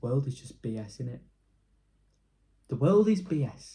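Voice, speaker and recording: A man speaks with a Yorkshire accent and a somewhat breathy voice. His pitch swings very widely. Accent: Yorkshire, Leeds. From northern England, Leeds. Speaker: YouTuber. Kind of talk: casual vlog rant. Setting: at home alone. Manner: rambling, fast flow.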